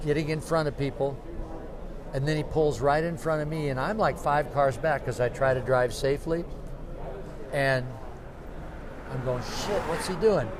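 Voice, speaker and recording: There is noticeable background noise and audible room echo. A man with a fairly high pitch speaks with long, frequent pauses. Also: ordinary pitch variation, moderate pace. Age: 70s. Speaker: cactus grower and show organizer. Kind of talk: interview.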